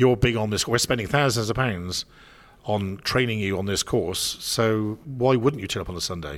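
Speaking with ordinary pitch variation, a man has an ordinary speaking voice set at a fairly low pitch. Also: moderate pace. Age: 50s. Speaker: business speaker and consultant. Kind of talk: casual chat. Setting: live at a business expo.

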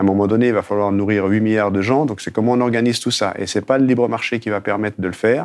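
On a very clean recording with a silent background, a man speaks very fast in a fairly low pitch with fairly even intonation. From Haute-Savoie, France. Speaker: documentary filmmaker. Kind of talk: interview. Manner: halting, with repetitions.

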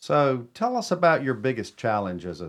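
Fairly quick speech from a man with a North Carolina accent, on a very clean recording with a silent background. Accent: Southern US (North Carolina). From Cornelius area, North Carolina. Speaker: town mayor hosting a radio show. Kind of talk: radio talk show. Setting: radio studio.

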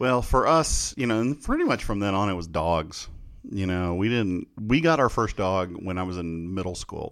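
At a moderate pace, a man with a plain, everyday voice speaks at a fairly low pitch with lively intonation. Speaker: podcast host. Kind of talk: casual chat.

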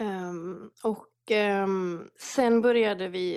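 Her pitch sits at a medium level for a woman, and its variation is ordinary. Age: 30s. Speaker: prayer movement leader. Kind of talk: casual interview. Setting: remote call from home.

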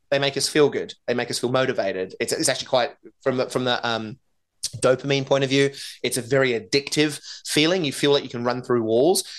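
A man with an Australian accent speaks at a very fast pace and a medium pitch. His pitch varies in an ordinary way against a quiet background. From Australia, Northern Beaches of Sydney. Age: 40s. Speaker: keynote speaker and author. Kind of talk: interview.

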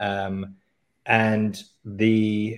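A man talks in a Canadian accent. His pitch is fairly low. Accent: English with Canadian twang. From England. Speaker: CrossFit coach. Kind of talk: casual chat. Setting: video call.

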